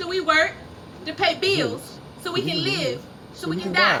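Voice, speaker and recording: The voice is raised and projected. It belongs to a woman. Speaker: spoken word poet. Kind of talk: spoken word poetry performance. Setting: live at a cafe open mic.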